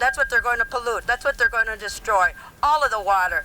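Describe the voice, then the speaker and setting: Over noticeable background noise, a woman with an American accent speaks in a raised, projected voice at a high pitch. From northern Wisconsin, Anishinaabe community. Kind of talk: speech at a rally. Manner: halting, repetitive.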